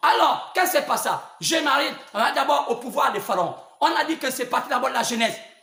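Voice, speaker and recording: Speaking at an extremely high pitch for a man, he talks at a fairly quick pace with lively intonation. Room echo is audible, and background noise is noticeable. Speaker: preacher. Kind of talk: sermon. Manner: halting, with many repetitions; spontaneous, not calm.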